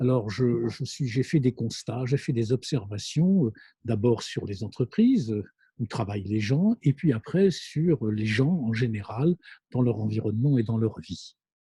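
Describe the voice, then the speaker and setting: A man speaks at a fairly slow pace with medium pitch and ordinary pitch variation. His tone is dark and mellow, somewhat breathy, in a dry, close sound with no echo. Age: 60s. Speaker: business school lecturer and consultant. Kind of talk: monologue lecture. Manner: hesitant, many fillers.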